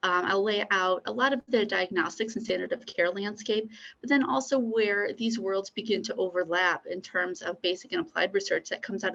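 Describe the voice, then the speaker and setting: An unremarkable speaking voice from a woman, medium in pitch with ordinary variation, at a fairly quick pace. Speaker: pharmaceutical imaging scientist. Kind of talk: conference keynote talk. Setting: conference.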